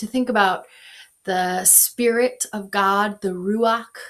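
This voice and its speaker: Speaking with a Minnesotan accent, a woman keeps her medium-pitched voice fairly even in intonation. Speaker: pastor. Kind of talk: guided meditation. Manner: slow; soft-spoken.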